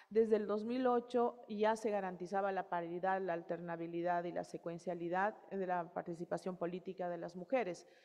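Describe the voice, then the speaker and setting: Hardly pausing, a woman speaks at a moderate pace and medium pitch with fairly even intonation in a dark, mellow tone. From Ecuadorian Amazon, Morona Santiago (Shuar nationality). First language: Shuar (speaking Spanish). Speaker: electoral authority head. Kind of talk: panel presentation. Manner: hesitant, many fillers.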